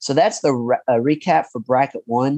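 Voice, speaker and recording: With a dark, mellow tone, a man talks at a moderate pace with ordinary pitch variation in a dry, close sound with no echo. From Kentucky (Paducah). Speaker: podcast host. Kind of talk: interview and casual chat.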